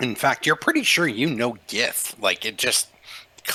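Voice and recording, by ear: This voice sounds natural. It is reading text aloud.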